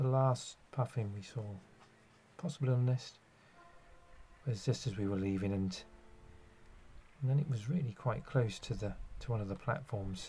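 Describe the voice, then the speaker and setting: A man speaks at a moderate pace with medium pitch, ordinary pitch variation and a dark, mellow tone. His voice is somewhat breathy, broken by long, frequent pauses. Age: 60s. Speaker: nature photographer. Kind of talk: narration. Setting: outdoors. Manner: halting.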